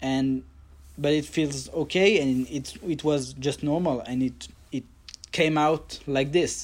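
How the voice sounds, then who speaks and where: A man with a French accent, very slow pace and fairly even intonation. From Paris suburbs, France. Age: 30s. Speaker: calligrapher and lettering artist. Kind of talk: casual interview chat. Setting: video call.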